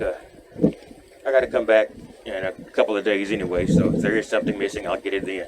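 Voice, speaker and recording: A man's fairly low-pitched voice amid noticeable background noise. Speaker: van life vlogger. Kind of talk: casual vlog. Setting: grocery store.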